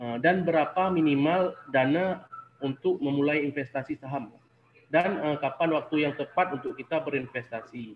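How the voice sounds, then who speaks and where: Speaking with a Sumatran accent, a man keeps a moderate pace, his fairly high pitch showing ordinary variation. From Aceh, Indonesia. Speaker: webinar participant. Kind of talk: audience question.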